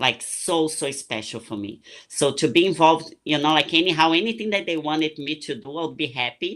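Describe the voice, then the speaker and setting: A woman's very deep, low voice in a Portuguese accent, fairly quick and lively in intonation, with hardly any pauses. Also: quiet background. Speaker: retired bikini competitor and coach. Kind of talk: casual interview chat.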